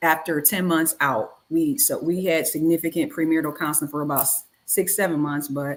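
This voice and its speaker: Here is a woman with a normal speaking voice. Her pitch is fairly low, with ordinary variation, and her pace is moderate. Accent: American. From Detroit, US Midwest. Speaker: wife of an exonerated former prisoner. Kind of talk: casual chat.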